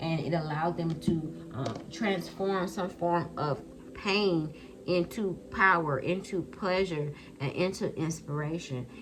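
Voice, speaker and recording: A fairly low-pitched woman at a fairly slow pace with ordinary pitch variation, amid audible room echo and noticeable background noise. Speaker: tarot card reader. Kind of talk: tarot reading. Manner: animated.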